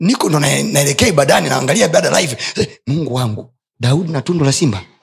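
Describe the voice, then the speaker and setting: Animated and lively in intonation, a man with a fairly high pitch speaks at a moderate pace, leaving long, frequent pauses amid audible room echo. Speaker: pastor. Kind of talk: sermon.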